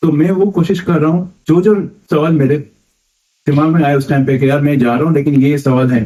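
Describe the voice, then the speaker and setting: Somewhat breathy, a man with a Mumbai accent speaks at a moderate pace and fairly high pitch with ordinary pitch variation. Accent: Mumbai Hindi. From Mumbai, India. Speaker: first-time pilgrim asking questions. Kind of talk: podcast interview.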